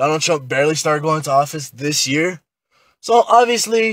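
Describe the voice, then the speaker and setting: In an unremarkable speaking voice, a man talks at a moderate pace and a fairly high pitch with lively intonation. The sound is dry and close, with no echo. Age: 20s. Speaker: podcast guest, protester. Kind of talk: casual podcast discussion.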